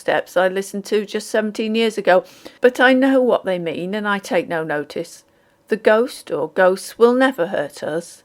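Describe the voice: A text is read aloud. The reading is plain.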